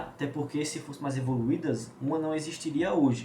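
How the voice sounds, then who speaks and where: Noticeable background noise and audible room echo are present. The voice is a man's. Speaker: biology teacher. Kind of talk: lecture. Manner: fast.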